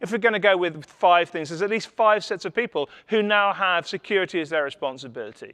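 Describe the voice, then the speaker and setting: A man's high-pitched, bright, sharp voice with lively intonation at a very fast pace over a quiet background. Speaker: conference speaker, security specialist. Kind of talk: conference talk. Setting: stage with audience.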